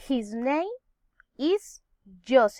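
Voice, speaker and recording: A woman with a Colombian accent speaks at a very slow pace in a high voice, her pitch swinging very widely, recorded with a dry, close sound and no echo. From Colombia, Nariño. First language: Spanish. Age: 30s. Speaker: teacher. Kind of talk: English class self-introduction.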